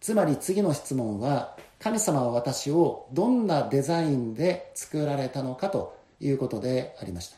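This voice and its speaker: A man's dark, mellow voice with lively intonation at a fairly slow pace. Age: 60s. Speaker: pastor. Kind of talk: sermon. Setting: church.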